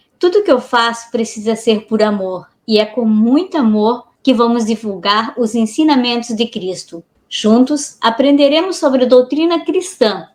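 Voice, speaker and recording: Using a plain, everyday voice, a woman with a fairly high pitch speaks at a fairly slow pace with lively intonation and hardly any pauses. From Blumenau, Santa Catarina, Brazil. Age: 40s. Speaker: podcast co-host. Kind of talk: self-introduction in podcast.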